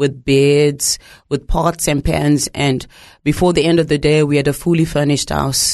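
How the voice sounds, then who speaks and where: A woman's very deep, low voice in a Zimbabwean accent, at a moderate pace, with very even loudness and monotone, flat intonation. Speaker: documentary maker and ministry leader. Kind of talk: testimony. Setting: studio.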